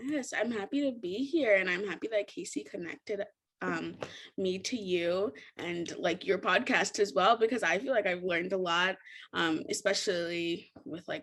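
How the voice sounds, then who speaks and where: This woman has a medium-pitched voice with lively intonation. She speaks with an American accent. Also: moderate pace. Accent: sounds American rather than Kenyan. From US, Richmond, Virginia (moved from Kenya at 3). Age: 20s. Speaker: podcast guest, journalism graduate. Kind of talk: casual chat.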